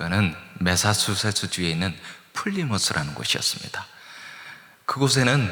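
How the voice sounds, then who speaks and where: Noticeable background noise and audible room echo surround the recording. A man talks with very wide pitch swings. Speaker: guest pastor and seminary professor, former missionary. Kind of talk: sermon. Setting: church. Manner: plain, easy-to-follow.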